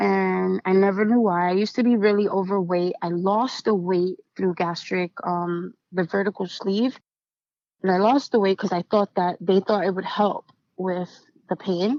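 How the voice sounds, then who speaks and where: A woman with an unremarkable speaking voice talks at a moderate pace and medium pitch, her intonation fairly even. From US inner city, Puerto Rican family. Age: 30s. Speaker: writer, poet and motivational speaker in recovery. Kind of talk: personal testimony in podcast interview. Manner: casual, with many fillers.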